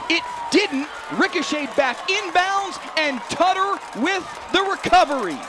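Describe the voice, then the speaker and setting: Over crowd noise in the background, a man with an extremely high pitch speaks in a raised, projected voice at a very slow pace, with ordinary pitch variation. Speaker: sports play-by-play announcer. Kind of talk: football play-by-play broadcast demo.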